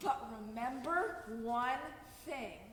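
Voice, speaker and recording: A woman puts on a high-pitched character voice, with a clear echo around it. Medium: stage play. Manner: fussy, motherly.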